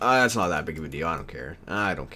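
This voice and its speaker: Talking at a very fast pace, a man shows vocal fry, lively intonation and a bright, sharp tone. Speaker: gaming video creator. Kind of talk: gameplay commentary. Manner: casual, halting with many restarts.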